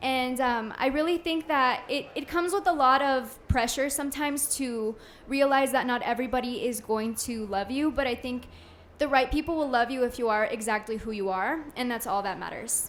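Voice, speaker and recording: A woman talks loudly at a moderate pace, her high voice varying in pitch in an ordinary way. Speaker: podcast guest, businesswoman. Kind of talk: live podcast conversation. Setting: live podcast event with audience.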